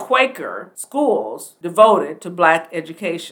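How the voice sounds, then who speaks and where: A woman with an American accent and an unremarkable speaking voice talks at a moderate pace with lively intonation. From US Pacific Northwest, Portland, Oregon. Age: 60s. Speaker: podcast host, retired army nurse and educator. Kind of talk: educational monologue.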